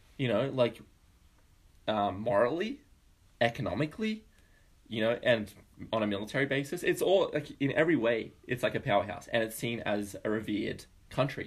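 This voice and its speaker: With an Australian accent, a man speaks at a fairly quick pace and medium pitch. He uses ordinary pitch variation and takes long, frequent pauses. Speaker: podcast co-host. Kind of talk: casual political chat.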